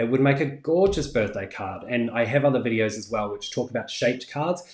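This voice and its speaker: A man with a New Zealand accent speaks at a fairly quick pace with ordinary pitch variation. His somewhat breathy voice comes with audible room echo. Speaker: crafting YouTuber. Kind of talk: live stream tutorial and chat. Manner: casual, many fillers. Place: home room.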